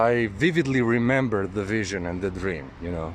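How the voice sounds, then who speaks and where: A man talks at a moderate pace with a non-native accent. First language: not English. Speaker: occult spiritual video maker. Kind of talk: personal testimony monologue. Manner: halting, with many fillers.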